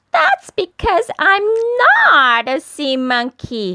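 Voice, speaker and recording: This is a put-on character voice that sounds female, pitched high. It moves at a very slow pace with very wide pitch swings. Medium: read story. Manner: sweet, flirtatious.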